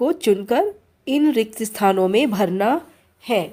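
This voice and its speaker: Her tone is dark and mellow, with a fairly high pitch. The woman's intonation is lively. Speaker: Hindi teacher. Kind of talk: tutorial. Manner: slow, clear dictation.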